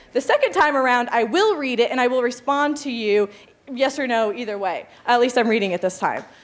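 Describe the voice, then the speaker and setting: A high-pitched woman at a fairly quick pace, with noticeable background noise. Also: ordinary pitch variation. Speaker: journalist giving a talk. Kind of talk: five-minute presentation talk. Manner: fast; hesitant with many fillers.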